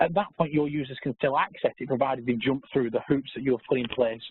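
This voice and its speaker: A man at a medium pitch races along at a very fast pace. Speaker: technical architect presenting webinar. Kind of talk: webinar presentation. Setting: live webinar.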